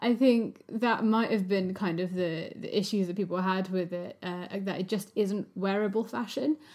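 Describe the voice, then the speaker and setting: Speaking at a moderate pace, a woman with a plain, everyday voice keeps a medium pitch and ordinary pitch variation. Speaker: podcast host. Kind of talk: podcast interview, intro and outro. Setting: remote recording via Zoom.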